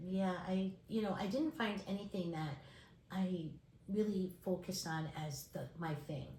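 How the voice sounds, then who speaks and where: In a room with audible echo, a woman talks at a fairly slow pace in a somewhat breathy, dark and mellow voice of medium pitch with ordinary pitch variation. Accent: American. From New York, Brooklyn. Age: 60s. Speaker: speech pathologist and textile artist. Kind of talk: interview.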